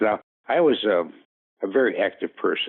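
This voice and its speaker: A man's pitch varies in an ordinary way as he talks at a fairly slow pace. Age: 60s. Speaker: patient with rare disease. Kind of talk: interview. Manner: hesitant, many fillers.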